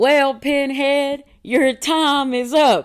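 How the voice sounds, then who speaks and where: A put-on character voice pitched high comes through on a very clean recording with a silent background. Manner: mock-menacing, playful.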